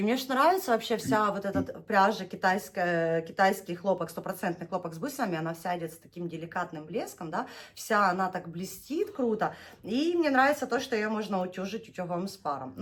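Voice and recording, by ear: A woman with a southern Russian accent speaks at a fairly quick pace at a medium pitch, her intonation lively.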